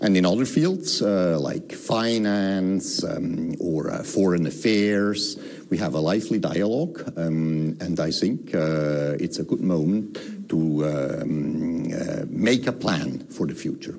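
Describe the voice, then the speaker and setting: A man's very deep, low voice at a very slow pace with hardly any pauses and ordinary pitch variation, amid noticeable background noise and audible room echo. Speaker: diplomat. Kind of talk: interview. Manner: hesitant, many fillers.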